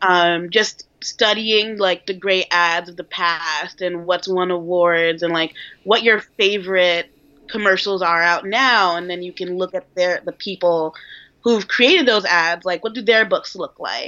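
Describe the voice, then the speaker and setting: A woman with an American accent and a plain, everyday voice talks fairly slowly at a medium pitch with fairly even intonation. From New York. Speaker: junior copywriter. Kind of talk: casual interview. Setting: video call.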